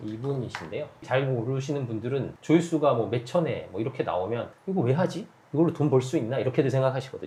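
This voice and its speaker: A man speaks at a very fast pace. He hardly pauses at all. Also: medium pitch for a man, ordinary pitch variation. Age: 40s. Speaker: YouTuber and YouTube consultant. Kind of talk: interview. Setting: home studio.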